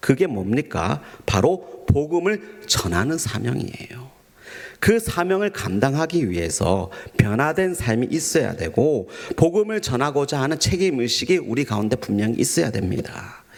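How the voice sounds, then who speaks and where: Very wide pitch swings with a gentle tone at a fairly slow pace. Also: man, medium pitch for a man. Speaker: pastor. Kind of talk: sermon. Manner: formal, gentle preaching tone.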